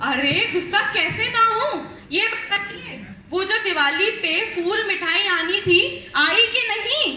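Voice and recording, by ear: In a put-on character voice, a woman speaks with extremely high pitch, a bright, sharp tone and lively intonation, at a slow pace with few pauses, in audible room echo.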